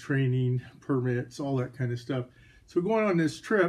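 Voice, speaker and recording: This man has a dark, mellow tone at medium pitch and is somewhat breathy. He speaks at a moderate pace. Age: 60s. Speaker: firearms hobbyist YouTuber. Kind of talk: casual vlog monologue.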